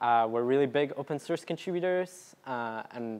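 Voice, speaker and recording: Moderate-paced speech from a man, ordinary pitch variation, a very clean recording, and a silent background. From Canada, Vancouver. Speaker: software developer giving a talk. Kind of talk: meetup presentation. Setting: meetup talk with audience. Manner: casual with many fillers.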